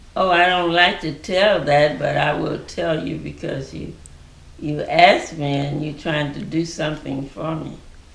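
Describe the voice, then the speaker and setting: In a Mississippi accent, a woman with a very deep, low voice speaks with fairly even intonation and big swings in loudness, with audible room echo and noticeable background noise. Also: fairly slow pace. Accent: Southern US (Mississippi). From US South, Mississippi. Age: 90s. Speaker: church member giving testimony. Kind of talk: testimony. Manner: halting, many fillers.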